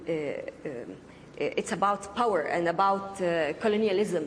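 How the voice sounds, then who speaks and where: A woman with a medium pitch and ordinary pitch variation, over noticeable background noise. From Palestine. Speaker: filmmaker. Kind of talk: heated debate. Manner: halting, many fillers.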